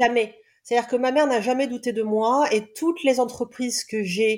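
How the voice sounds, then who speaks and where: Talking at a fairly quick clip, a woman has an unremarkable speaking voice, a fairly high pitch, and ordinary pitch variation. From Réunion island. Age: 40s. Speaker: love coach and therapist. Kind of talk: casual interview, personal testimony.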